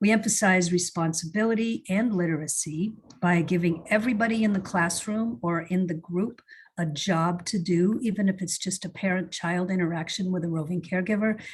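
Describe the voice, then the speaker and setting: Speech comes at a fairly quick pace, somewhat breathy. Pitch varies in an ordinary way. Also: woman, medium pitch for a woman. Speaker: early childhood program presenter. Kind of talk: webinar presentation.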